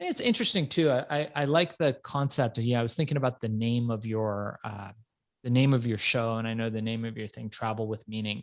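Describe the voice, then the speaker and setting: A man with a normal speaking voice talks at medium pitch and a fairly quick pace. His pitch varies in an ordinary way against a quiet background. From Iran, raised in Los Angeles area. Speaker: entrepreneur and author. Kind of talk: podcast interview.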